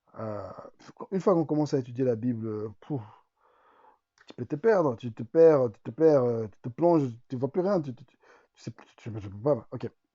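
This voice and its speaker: A man's medium-pitched voice, with lively intonation and long, frequent pauses. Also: big swings in loudness. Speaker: YouTuber teaching Bible study. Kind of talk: tutorial. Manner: fast; hesitant, many repetitions.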